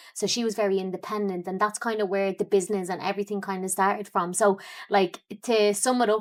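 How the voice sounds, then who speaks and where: Very fast and monotone with flat intonation, a woman with an Irish accent speaks at medium pitch in a very clean recording with a silent background. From Ireland, Dublin. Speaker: fitness coach and entrepreneur. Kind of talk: podcast interview. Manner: casual, many fillers.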